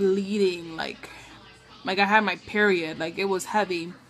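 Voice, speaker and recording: With music in the background, a woman speaks at a medium pitch with fairly even intonation. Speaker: new mother. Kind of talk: casual talk to camera. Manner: halting, with stutters and pauses.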